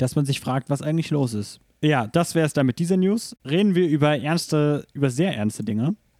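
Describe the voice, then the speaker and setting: His fairly high pitch carries lively intonation as this man speaks. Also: dry, close sound with no echo. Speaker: gaming podcast host. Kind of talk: casual chat. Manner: news-anchor-like when reading aloud.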